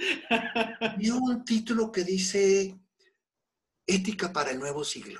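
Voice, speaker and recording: A man with a Mexican accent talks very slowly, his pitch high and his intonation lively. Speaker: Buddhism teacher. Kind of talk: interview.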